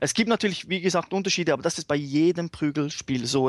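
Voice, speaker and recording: A man with a normal speaking voice talks at a fairly quick pace with ordinary pitch variation, recorded dry and close with no echo against a quiet background. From Switzerland. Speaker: fighting game fan. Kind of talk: casual chat. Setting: remote call.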